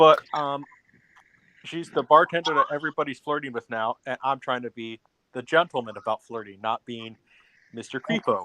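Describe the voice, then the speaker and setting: Speaking at a moderate pace with long, frequent pauses, a man with a fairly high voice and ordinary pitch variation shows big swings in loudness. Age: 20s. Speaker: livestream chat participant. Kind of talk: casual chat. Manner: halting, repetitive.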